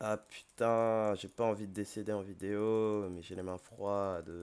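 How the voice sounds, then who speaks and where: A man's fairly low voice at a very slow pace. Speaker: gaming youtuber. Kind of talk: gameplay commentary. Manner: hesitant, many fillers.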